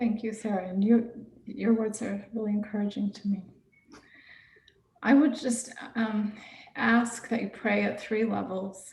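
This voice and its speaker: The voice is soft-spoken and keeps a moderate pace. Noticeable background noise runs underneath. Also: woman. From Texas, San Antonio. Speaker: nonprofit director, migrant advocate. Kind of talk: guest talk in church service. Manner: halting.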